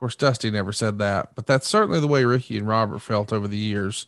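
This man's pitch varies in an ordinary way. The sound is dry with no echo, and the background is quiet. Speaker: podcast host. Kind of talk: casual interview and history recap. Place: home room. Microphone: studio mic.

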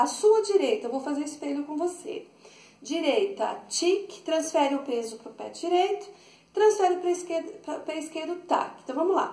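Amid audible room echo, a woman at an extremely high pitch speaks with a dark, mellow tone at a moderate pace, her loudness swinging widely. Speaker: dance teacher. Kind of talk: tutorial. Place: home room. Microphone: camera far.

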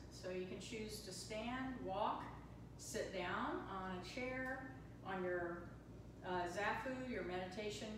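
A woman speaks at a fairly slow pace. Noticeable background noise and audible room echo come through. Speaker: yoga and meditation teacher. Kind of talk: guided meditation. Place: hall. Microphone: camera far.

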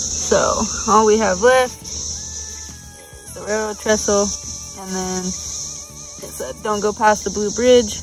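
At a very slow pace, the speech has a dry sound with no echo and clear music playing in the background. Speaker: kayaking trip vlogger. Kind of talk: casual vlog chat. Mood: relaxed, recalling the trip. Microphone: phone near.

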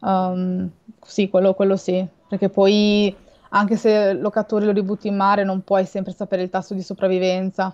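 A woman at a moderate pace, in monotone, flat intonation. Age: 20s. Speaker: marine biologist and shark science communicator; guest. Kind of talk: interview about sharks on a livestream. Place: home room.

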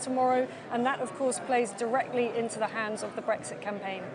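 A woman with a British accent at a very fast pace, crowd noise in the background. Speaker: political journalist. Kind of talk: live TV interview. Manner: formal. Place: hall. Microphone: lapel.

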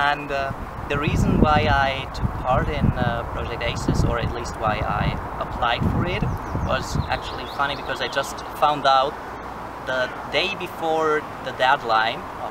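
Against loud background noise, a man speaks at a fairly slow pace. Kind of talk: casual group talk. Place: forest.

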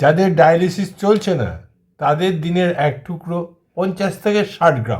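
Pitched high, a man's voice moves with ordinary pitch variation. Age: 60s. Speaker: kidney patient and health video host. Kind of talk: informational monologue.

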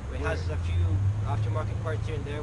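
A man at a very fast pace, over loud background noise. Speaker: car channel co-host. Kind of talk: casual vlog chat. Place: street. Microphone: camera far.

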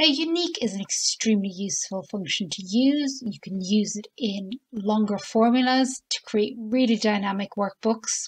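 The delivery moves at a moderate pace with hardly any pauses and a lively intonation. The voice is somewhat breathy, and the sound is dry and close with no echo. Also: woman, fairly high pitch for a woman. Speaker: Excel tutorial presenter. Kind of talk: software tutorial narration.

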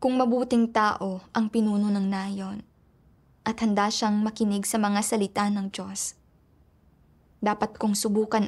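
A woman's somewhat breathy voice, monotone and flat, at a fairly slow pace, in a very clean recording with a silent background. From Myanmar. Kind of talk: testimony.

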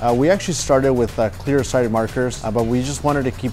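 Faint music runs behind a man speaking. He talks at a fairly quick pace with ordinary pitch variation. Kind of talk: product walkthrough. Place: studio. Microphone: lapel.

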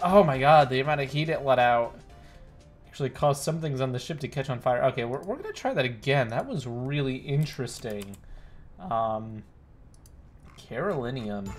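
Over music in the background, the speaker keeps a moderate pace with ordinary pitch variation and long, frequent pauses. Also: man. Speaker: game streamer. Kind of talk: casual gameplay commentary.

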